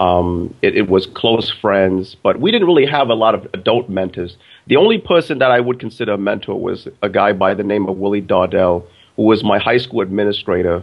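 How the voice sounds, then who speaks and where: A man talks at a fairly quick pace. He has a Brooklyn accent. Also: fairly low pitch for a man, ordinary pitch variation. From Brooklyn, New York, then upstate New York. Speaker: business educator and author. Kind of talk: interview. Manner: halting, with repeated words.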